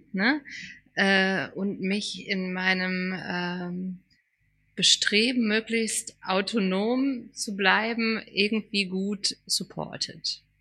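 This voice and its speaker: Her tone is bright and sharp, with a medium pitch and fairly even intonation. The woman speaks at a very slow pace. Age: 40s. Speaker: podcast co-host, former teacher. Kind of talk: casual chat.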